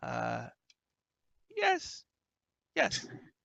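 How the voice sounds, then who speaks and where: A man cackling in a put-on character voice. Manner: cackling, bargaining.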